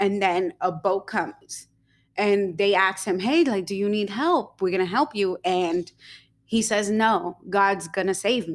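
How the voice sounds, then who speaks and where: The recording is very clean, with a silent background. It carries an unremarkable speaking voice with ordinary pitch variation. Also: woman. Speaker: podcast co-host. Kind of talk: casual chat.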